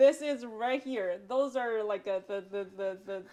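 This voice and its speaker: A woman speaks with a Chinese accent at a moderate pace. Her pitch is fairly high. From China. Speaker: bookstore owner. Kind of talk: casual chat. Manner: halting, many fillers and repeats.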